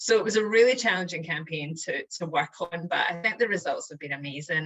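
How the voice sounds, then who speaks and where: A woman with a Scottish accent talks at a fairly quick pace, her pitch varying in an ordinary way. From Scotland. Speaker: chief marketing officer. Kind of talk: interview answer.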